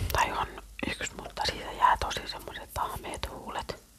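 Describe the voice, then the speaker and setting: Whispering at a moderate pace, a woman comes through noticeable background noise. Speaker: ASMR creator. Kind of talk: casual ASMR chat to camera. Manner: whispered.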